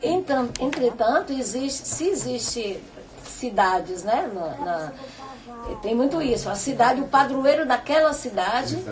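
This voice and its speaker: Through noticeable background noise, a woman with a high pitch and lively intonation speaks at a fairly slow pace. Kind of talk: radio talk show.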